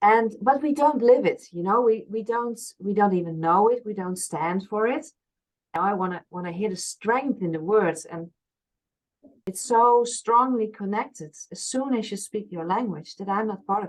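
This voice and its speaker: A woman with a Frisian accent speaks at a moderate pace and a fairly high pitch. Her pitch variation is ordinary, but her loudness swings widely. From Friesland, Netherlands. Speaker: past life regression therapist. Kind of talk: interview conversation.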